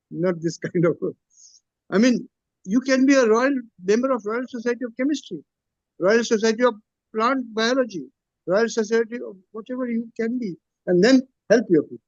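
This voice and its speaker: A man's extremely high-pitched voice, dry and close with no echo, broken by long, frequent pauses. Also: ordinary pitch variation, moderate pace. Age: 70s. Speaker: Buddhist monk and former chemistry professor. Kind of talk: Q&A advice talk. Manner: repetitive, halting.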